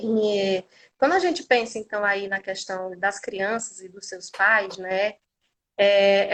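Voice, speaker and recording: Very slow, fairly high female voice with ordinary pitch variation. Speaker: occupational therapist and lecturer. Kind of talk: online lecture. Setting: livestream.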